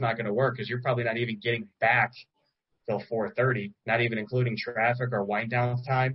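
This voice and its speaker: A somewhat breathy man's voice of medium pitch with an American accent. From Chicago. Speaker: insurance sales trainer. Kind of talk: sales training talk on a group call. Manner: fast; animated.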